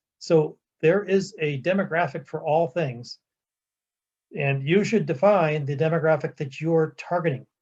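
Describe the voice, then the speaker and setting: A man with a normal speaking voice talks at a fairly slow pace, his fairly high pitch showing ordinary variation. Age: 60s. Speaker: business seminar presenter. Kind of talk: lecture.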